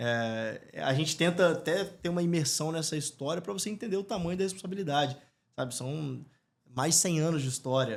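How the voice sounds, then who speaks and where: With a normal speaking voice, a man talks at a fairly quick pace with a fairly high pitch and lively intonation. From Brazil, Espírito Santo. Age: 30s. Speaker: football club executive and entrepreneur. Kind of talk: podcast interview. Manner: casual, filler-heavy.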